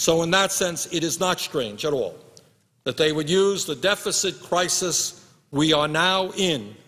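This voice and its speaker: Speaking at a fairly slow pace, a man with a high-pitched voice shows ordinary pitch variation. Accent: American. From United States. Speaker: U.S. senator. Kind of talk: Senate floor speech. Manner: angry, impassioned. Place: hall. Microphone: podium.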